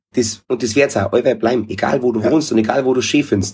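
The very clean recording, with a silent background, captures a man at medium pitch with a dark, mellow, somewhat breathy tone. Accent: Bavarian. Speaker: reggae musician. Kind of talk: casual chat.

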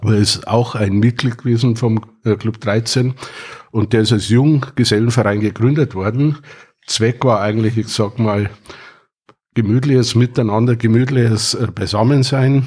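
A man speaks at a fairly slow pace, somewhat breathy. His intonation stays fairly even and his loudness very even. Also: medium pitch for a man. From Bavaria, Wartenberg (Upper Bavaria). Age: 60s. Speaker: retired IT company founder. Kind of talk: casual chat. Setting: at a home.

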